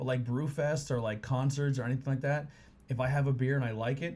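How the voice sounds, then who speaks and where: A somewhat breathy man at medium pitch, very fast, with fairly even intonation. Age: 30s. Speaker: podcast host. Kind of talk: casual chat. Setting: studio. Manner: casual, rambling.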